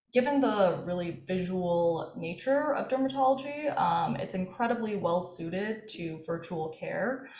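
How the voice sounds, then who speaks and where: Speaking very slowly with lively intonation, a woman with an American accent has a medium pitch, and the room echo is audible. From US, Washington DC area. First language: Farsi. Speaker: dermatologist and health tech co-founder. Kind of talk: interview.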